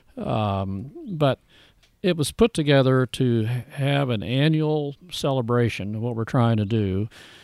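Here is a man with an ordinary speaking voice, pitched in the medium range. He talks at a fairly slow pace with ordinary pitch variation. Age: 60s. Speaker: grass-fed beef rancher and business owner. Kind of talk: casual interview. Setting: outdoors in a garden.

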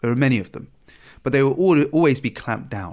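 A man with a British accent and ordinary pitch variation, on a very clean recording against a silent background. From England. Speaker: former extremist, counter-extremism director. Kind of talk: interview.

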